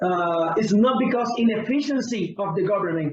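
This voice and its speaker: Here a man speaks with a Spanish accent. His pitch is high, with ordinary variation. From Cuba. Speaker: pastor. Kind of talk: interview.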